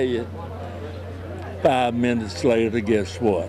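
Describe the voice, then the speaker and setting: Fairly slow speech in a Southern US accent, with ordinary pitch variation, audible room echo and crowd noise in the background. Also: man. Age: 90s. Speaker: war veteran. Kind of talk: testimony.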